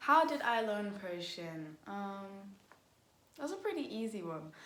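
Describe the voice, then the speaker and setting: A woman talks with lively intonation at a medium pitch. Room echo is audible. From Liverpool, England. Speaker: YouTuber and cover singer. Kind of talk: casual Q&A vlog. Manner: hesitant, many fillers.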